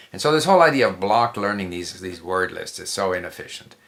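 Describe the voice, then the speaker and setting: A man with a Canadian accent talks at a fairly quick pace, his fairly low pitch carrying a bright, sharp tone and ordinary pitch variation. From Canada, Montreal. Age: 70s. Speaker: polyglot. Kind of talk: interview.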